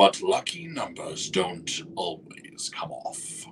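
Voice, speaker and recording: Using a raspy, put-on character voice, a man speaks at a very slow pace over clear background noise. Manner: sneering, mocking.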